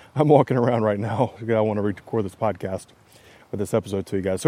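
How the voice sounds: Using a put-on character voice, a man talks at a very fast pace with a fairly low, raspy pitch. His intonation stays fairly even.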